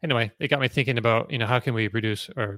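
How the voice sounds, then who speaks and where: Here a man talks at a medium pitch. The recording is very clean and dry, close with no echo and a silent background. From rural New Brunswick, Canada. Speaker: EV news site editor and forum moderator. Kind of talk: casual chat.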